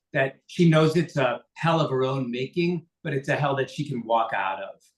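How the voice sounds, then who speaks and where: Somewhat breathy and fairly high in pitch, a man talks at a moderate pace with ordinary pitch variation. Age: 60s. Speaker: composer and lyricist. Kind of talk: interview. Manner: halting.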